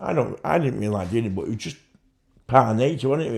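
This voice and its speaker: A man speaks with a Mancunian accent. His pitch varies in an ordinary way. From Manchester, England. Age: 50s. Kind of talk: interview answer.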